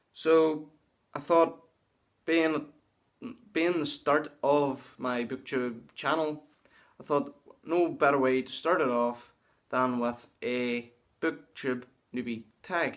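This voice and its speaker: Pausing long and often, a man with a Northern Irish accent speaks at a very slow pace in a fairly high pitch with fairly even intonation. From Northern Ireland. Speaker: booktuber. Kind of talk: casual vlog monologue. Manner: halting.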